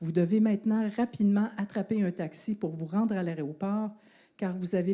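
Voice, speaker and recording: Speaking with a Quebec accent, a woman has a dark, mellow tone. She keeps a moderate pace and ordinary pitch variation. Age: 60s. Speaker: university professor and sport researcher. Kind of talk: public talk at an evening science outreach event; guided visualization story told to audience.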